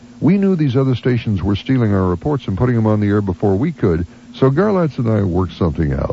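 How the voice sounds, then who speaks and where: Over noticeable background noise, a man at medium pitch talks very fast with very wide pitch swings and very even loudness. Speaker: radio morning host. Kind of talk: radio on-air talk.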